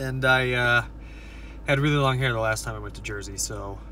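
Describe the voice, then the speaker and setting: Speaking at a moderate pace, a man is heard as a dry sound with no echo over light background noise. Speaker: vlogger. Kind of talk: casual vlog chat. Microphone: phone near.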